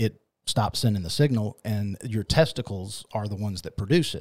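A man with a plain, everyday voice speaks at a fairly slow pace and a fairly low pitch. The recording is very clean with a silent background. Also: dry, close sound with no echo. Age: 40s. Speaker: men's health clinic worker. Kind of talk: interview.

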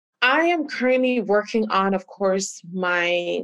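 This woman has a plain, everyday voice. Her pitch varies in an ordinary way. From Canada. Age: 30s. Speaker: tech professional and travel startup founder. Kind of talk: interview.

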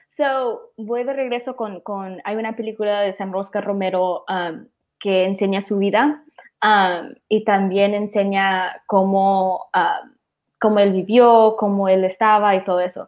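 A woman's plain, everyday voice at medium pitch and a fairly slow pace. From Maryland, US, Salvadoran parents. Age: 20s. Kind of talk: casual livestream conversation.

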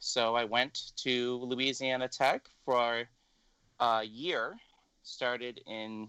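With an American accent, a man speaks in a bright, sharp tone, the sound dry and close with no echo. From Illinois, US Midwest. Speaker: blind cane travel instructor. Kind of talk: interview.

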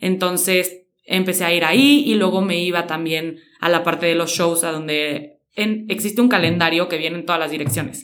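A woman with a Mexican accent, fairly low in pitch, at a moderate pace. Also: ordinary pitch variation. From Mexico, San Luis Potosí. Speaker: fashion stylist and content creator. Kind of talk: interview.

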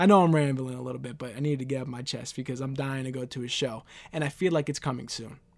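Speaking at a very fast pace, a man with an American accent comes through on a very clean recording with a silent background. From New York City, Queens. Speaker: wrestling podcast host. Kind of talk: solo podcast commentary. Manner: rambling, conversational.

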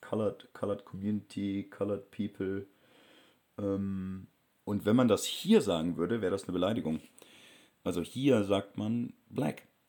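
A man speaks at a fairly slow pace with a fairly low pitch. His tone is dark and mellow, with ordinary pitch variation. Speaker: travel vlogger. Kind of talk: travel vlog narration.

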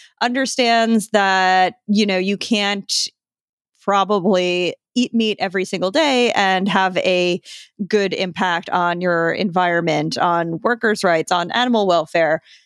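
A woman uses a plain, everyday voice with an American accent, at medium pitch and a fairly slow pace, with ordinary pitch variation and very even loudness. The recording is very clean, with a silent background and a dry, close sound with no echo. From Long Island, New York. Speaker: food writer and author. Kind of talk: interview. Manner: casual, many fillers.

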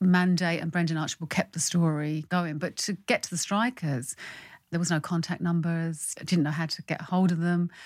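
With a London accent, a woman speaks at a fairly low pitch and a moderate pace. Her pitch varies in an ordinary way, and the recording is very clean with a silent background. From London, Irish parents. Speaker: playwright. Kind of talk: casual interview.

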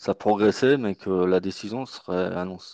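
An ordinary speaking voice: a man at a fairly slow pace with ordinary pitch variation, in a dry, close sound with no echo and a quiet background. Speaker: basketball podcast panelist. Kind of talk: casual chat. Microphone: connection dropped.

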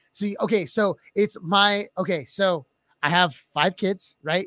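An animated man with a bright, sharp tone is captured with a dry, close sound and no echo. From Filipino heritage. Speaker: podcast co-host and high school teacher. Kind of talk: casual chat.

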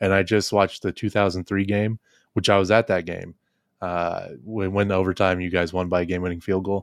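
A man with a very deep, low voice and an American accent speaks at a very fast pace in a flat monotone. The recording is very clean and dry, with a silent background and no echo. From Ohio, Dayton area. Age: 20s. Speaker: sports podcast host. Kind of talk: casual chat.

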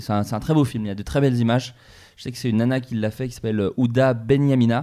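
Speaking very fast, a man has a dark, mellow tone on a very clean recording with a silent background. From France, Burgundy. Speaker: podcast host. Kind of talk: casual chat.

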